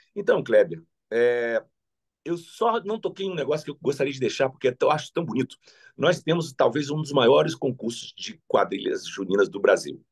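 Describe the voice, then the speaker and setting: Here a man talks at a moderate pace in a fairly high pitch, with vocal fry, very wide pitch swings and big swings in loudness. The sound is dry and close with no echo, over a quiet background. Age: 60s. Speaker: politician. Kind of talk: interview.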